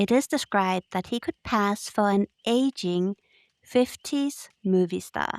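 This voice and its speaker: In a very clean recording with a silent background, a woman speaks at medium pitch and a very slow pace. Her pitch variation is ordinary, and the sound is dry and close with no echo. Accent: non-native. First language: not English. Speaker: podcast co-host. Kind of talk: casual chat.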